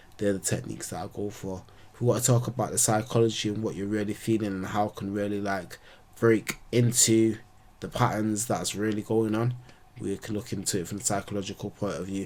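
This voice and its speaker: With a normal speaking voice, a man talks fairly quickly at a fairly low pitch and with fairly even intonation. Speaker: astrologer. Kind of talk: casual monologue to camera.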